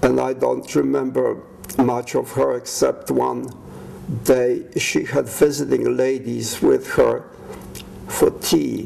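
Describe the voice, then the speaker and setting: Noticeable background noise runs under this man. He speaks at a very slow pace. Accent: Polish. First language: Polish. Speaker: war veteran. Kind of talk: life story testimony.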